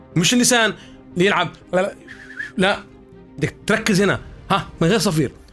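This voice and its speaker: Music plays in the background as a man speaks at a moderate pace, his high pitch showing ordinary variation. His loudness stays very even, broken by long, frequent pauses. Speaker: voice-over artist and voice coach. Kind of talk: voice training tutorial.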